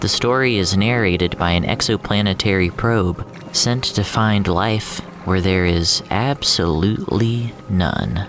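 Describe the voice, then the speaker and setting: Over music in the background, a man with a fairly low pitch talks at a fairly slow pace in an upbeat, playful tone, his loudness very even and his pitch varying in an ordinary way. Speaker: audio fiction narrator and voice actor. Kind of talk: casual podcast host talk.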